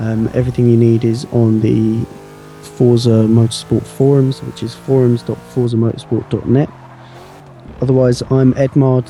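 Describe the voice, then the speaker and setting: A man's monotone, flat voice with noticeable background noise. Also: medium pitch for a man, moderate pace. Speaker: livestream commentator for a racing game competition. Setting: long late-night broadcast.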